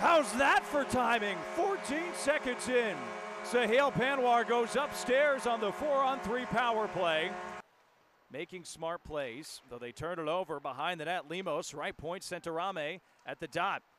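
His pitch swings very widely and sits high for a man. The pace is fairly slow, and there is noticeable background noise. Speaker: hockey play-by-play announcer. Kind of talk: live hockey play-by-play commentary in a highlight reel.

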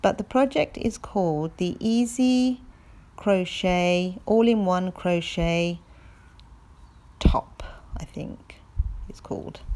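Using a dark, mellow tone, a woman talks at a very slow pace with ordinary pitch variation and long, frequent pauses. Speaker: knitting vlogger. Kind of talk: casual vlog chat. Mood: cheerful, relaxed. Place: open country. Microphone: phone near.

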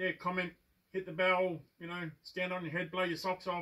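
A man's high-pitched, monotone voice with flat intonation over a quiet background. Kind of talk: casual tutorial vlog chat. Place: workshop. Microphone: camera far.

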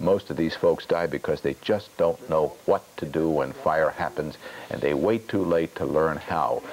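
A man talks at a moderate pace with extremely low pitch and ordinary pitch variation. His tone is slightly mellow.

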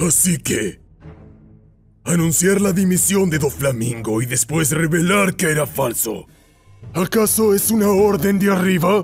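A man's put-on character voice, high-pitched with lively intonation, fairly slow with long, frequent pauses, over faint music in the background. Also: very even loudness. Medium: fan dub. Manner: angry, contemptuous, confrontational.

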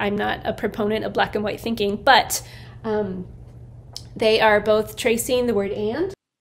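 At a fairly slow pace, a woman is talking. The pitch varies in an ordinary way. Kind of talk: artist talk about own work. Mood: thoughtful, calm. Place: workshop. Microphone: phone near.

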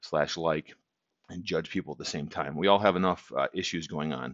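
Against a quiet background, a man with a very deep, low voice and vocal fry talks at a moderate pace with fairly even intonation. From Minnesota, US. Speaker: motivational vlogger. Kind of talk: casual monologue to camera. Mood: calm, encouraging. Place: home room. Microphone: headset.

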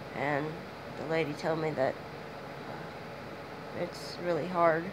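Against noticeable background noise and audible room echo, a woman speaks at a fairly low pitch in a monotone, flat intonation. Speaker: vlogger. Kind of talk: personal video diary.

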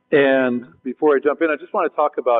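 Music plays in the background while a man speaks with fairly even intonation. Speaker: panel moderator. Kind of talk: panel introduction to a live audience. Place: stage.

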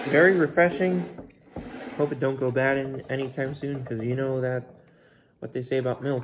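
Over noticeable background noise, a man speaks with ordinary pitch variation. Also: moderate pace. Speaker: food reviewer. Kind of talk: casual vlog chat. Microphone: earbuds.

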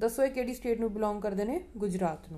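A woman's dark, mellow voice at medium pitch, lively intonation at a fairly quick pace.

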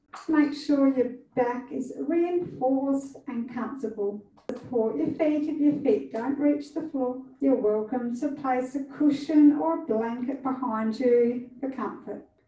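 Her voice is high for a woman, with ordinary pitch variation, a fairly slow pace, light background noise and audible room echo. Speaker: yoga instructor. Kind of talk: guided yoga instruction. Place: studio. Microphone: camera far.

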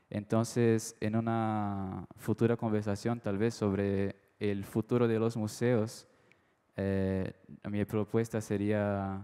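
In a Brazilian accent, the speaker talks at a very slow pace with a dark, mellow tone and monotone, flat intonation, over a quiet background. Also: man. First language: Portuguese (speaking Spanish). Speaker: art dealer, audience member; audience member. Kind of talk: audience question at a panel talk. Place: hall. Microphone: handheld.

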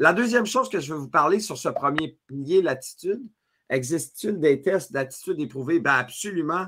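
A man speaks at a moderate pace with a Quebec accent. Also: quiet background. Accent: Québécois French. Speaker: leadership speaker and author; speaker. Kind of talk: webinar masterclass. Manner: energetic. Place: home room.

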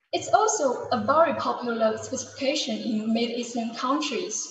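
In a room with audible echo, a woman speaks at a fairly slow pace in a high-pitched voice. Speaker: sales manager. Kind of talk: business presentation. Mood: calm, promotional. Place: office. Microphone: webcam.

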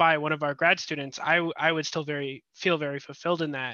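A man talks at a fairly quick pace in a fairly high pitch, with fairly even intonation, a dry sound with no echo and a quiet background. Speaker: audience member. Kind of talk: casual chat. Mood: polite, thoughtful. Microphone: headset.

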